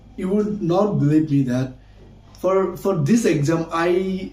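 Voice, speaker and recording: The speaker has a Bangladeshi accent. Their pitch varies in an ordinary way. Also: man. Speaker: English teacher, university student. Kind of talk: casual vlog-style talk. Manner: halting, with frequent fillers.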